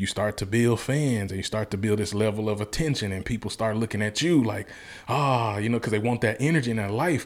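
On a very clean recording with a silent background, a man with a Southern US accent speaks at a fairly quick pace and fairly low pitch with ordinary pitch variation. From US South, Mississippi. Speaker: motivational speaker. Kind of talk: casual interview. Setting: studio. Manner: animated.

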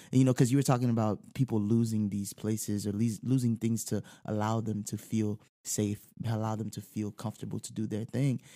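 The man's voice has a dark, mellow tone and fairly low pitch, delivered in a monotone, flat way at a fairly quick pace. The sound is dry and close, with no echo. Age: 20s. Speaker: saxophonist. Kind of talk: casual chat.

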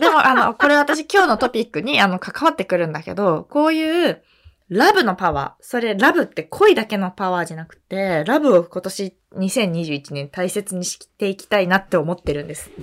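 With hardly any pauses, a woman of medium pitch talks at a moderate pace, her pitch swinging very widely and her loudness varying a lot. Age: 20s. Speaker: podcast co-host. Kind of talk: casual chat. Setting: remote recording over video call.

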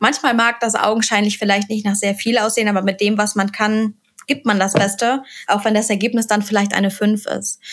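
Speaking at a moderate pace, a woman uses a fairly high pitch with monotone, flat intonation. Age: 30s. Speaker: vocational school teacher. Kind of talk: podcast interview.

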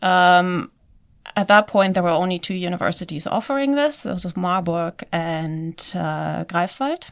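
A woman with a German accent and ordinary pitch variation, in a very clean recording with a silent background. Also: fairly slow pace. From Germany. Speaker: virologist. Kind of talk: interview.

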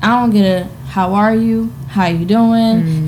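A woman talks at a medium pitch with ordinary pitch variation. Noticeable background noise runs underneath. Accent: American. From New Jersey, Trenton. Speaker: marketing entrepreneur and influencer. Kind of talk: casual chat.

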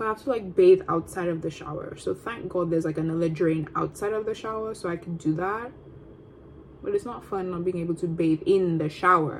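A woman speaks at a fairly quick pace with a fairly low pitch. Her pitch varies in an ordinary way, and background noise is noticeable. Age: 20s. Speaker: podcast host, student. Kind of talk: casual solo vlog-style chat. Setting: at home, eating on camera. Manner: casual, rambling with fillers.

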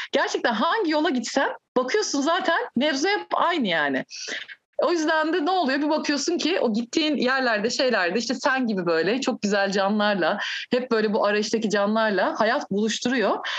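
The speech moves at a moderate pace, its pitch swinging very widely while the loudness stays very even. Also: woman, high pitch for a woman. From Turkey. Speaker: musician and Sufi practitioner. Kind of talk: casual chat.

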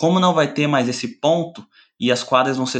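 At a moderate pace, a man with a fairly high pitch speaks in a plain, everyday voice with fairly even intonation against a quiet background. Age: 20s. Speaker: sports journalist. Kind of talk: casual chat.

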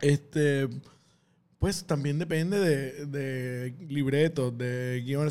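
This man speaks with fairly even intonation. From Puerto Rico. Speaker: comedian. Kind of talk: casual chat.

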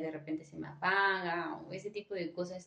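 A woman speaks with a Mexican accent. Her pitch is medium. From Michoacán, Mexico. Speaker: graduate student. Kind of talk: casual chat.

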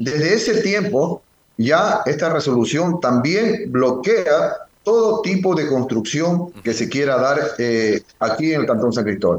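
Pitch swings very widely as the speech unfolds at a very slow pace. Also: man, fairly high pitch for a man. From Ecuador, Galápagos Islands. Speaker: mayor. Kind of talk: phone interview.

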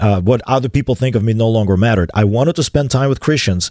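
Very fast, a man talks in a dark, mellow tone with ordinary pitch variation. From Moldova. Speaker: pastor. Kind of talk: interview testimony. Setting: studio. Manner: halting, many fillers.

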